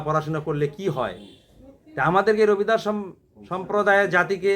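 A man is speaking. His intonation is fairly even. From Bangladesh, Gaibandha (northern Bangladesh). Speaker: community speaker. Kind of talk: speech. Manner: halting.

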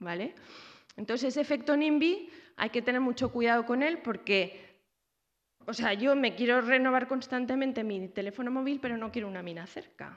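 Against a quiet background, a woman speaks in a high pitch with ordinary pitch variation. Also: moderate pace. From Zaragoza, Spain; Spain. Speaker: researcher and university lecturer; university lecturer. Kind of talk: lecture. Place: hall. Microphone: podium.

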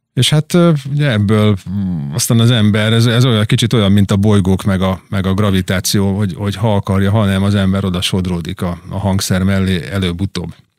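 Fairly quick speech carries ordinary pitch variation. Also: man, fairly low pitch for a man. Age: middle-aged. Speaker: drummer and record label owner. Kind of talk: interview. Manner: halting.

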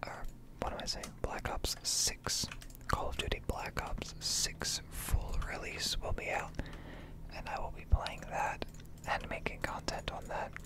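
In a relaxed tone, a man whispers at a fairly slow pace. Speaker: ASMR gaming content creator. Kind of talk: casual talk to camera, ASMR gaming ramble. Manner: soft-spoken, relaxed.

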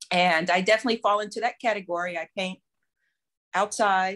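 In an American accent, a woman speaks at a moderate pace with ordinary pitch variation and a bright, sharp tone over a quiet background. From Texas. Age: 50s. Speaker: painter and professor. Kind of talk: interview. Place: home room.

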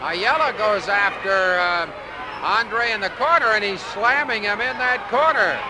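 Against noticeable background noise, a man with a high pitch speaks fairly slowly in a raised, projected voice with lively intonation. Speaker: wrestling commentator. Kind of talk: live wrestling commentary, play-by-play of a battle royal. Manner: animated, awestruck at the giant, with dry humor and a laugh.

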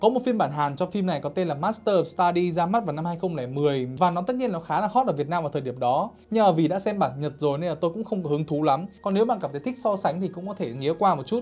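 Barely pausing, a man rattles along at a very fast pace with lively intonation. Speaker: film reviewer. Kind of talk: commentary. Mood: joking, casual. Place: studio.

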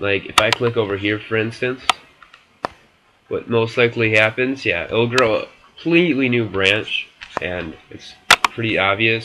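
Against noticeable background noise, a man speaks at a fairly slow pace with long, frequent pauses. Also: medium pitch for a man, ordinary pitch variation. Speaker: video game tutorial maker. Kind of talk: casual screen-recorded game tutorial. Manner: casual, informal.

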